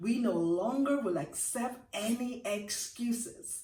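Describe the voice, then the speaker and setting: A woman with a Jamaican accent and a fairly high pitch speaks with lively intonation. There is audible room echo and noticeable background noise. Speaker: motivational speaker. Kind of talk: motivational talk. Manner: animated.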